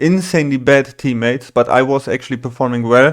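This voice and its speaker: Fairly quick speech with a German accent. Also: man, very clean recording, silent background. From Germany. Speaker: gaming streamer. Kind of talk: casual talk to camera. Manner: halting.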